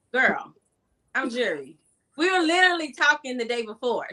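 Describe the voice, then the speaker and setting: A woman with an American accent uses a raised, projected voice. Her tone is bright and sharp, pitched high. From South Carolina. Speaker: author and event organizer. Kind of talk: casual chat.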